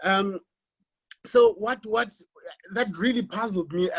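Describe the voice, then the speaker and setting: Someone talks at a moderate pace with a South African accent. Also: man. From South Africa, Xhosa-speaking village. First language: isiXhosa. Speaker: academic. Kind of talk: panel presentation. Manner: halting, many repetitions.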